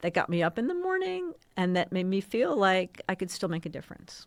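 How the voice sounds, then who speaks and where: At a fairly quick pace, a woman with an ordinary speaking voice talks at medium pitch with fairly even intonation. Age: 60s. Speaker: communications executive, former TV station president. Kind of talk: podcast interview.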